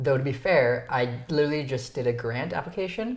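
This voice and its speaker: A somewhat breathy man with a Canadian accent, moderate pace, and audible room echo. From Ontario, Canada. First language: Romanian. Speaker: YouTuber, interview show host. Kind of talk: casual chat. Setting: dinner at home.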